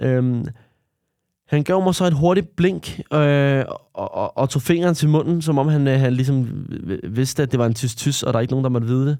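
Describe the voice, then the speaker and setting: A man's fairly high voice, dark and mellow in tone, with ordinary pitch variation and a moderate pace. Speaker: podcaster recounting prison remand. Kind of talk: personal diary-style testimony.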